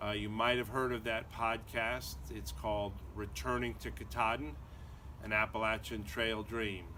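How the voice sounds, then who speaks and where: A man with an American accent talks at a moderate pace in a fairly low voice that swings very widely in pitch. His tone is bright and sharp, and the room echo is audible. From US Northeast (Connecticut). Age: 60s. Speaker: hiker and lawyer vlogger. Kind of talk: casual vlog monologue. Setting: outdoors in backyard. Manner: hesitant, many fillers.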